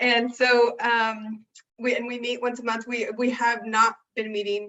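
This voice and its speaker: A woman talks with a West Coast accent. Her pace is moderate. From Oregon, Salem. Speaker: city community outreach staff. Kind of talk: community announcement.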